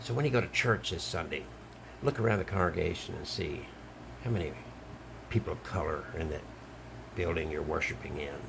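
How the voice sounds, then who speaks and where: In an American accent, a man with a very deep, low pitch talks at a fairly quick pace with very wide pitch swings and long, frequent pauses, with audible room echo. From Alabama, US South. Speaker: online commentator, travelling wedding officiant. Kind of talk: monologue video commentary.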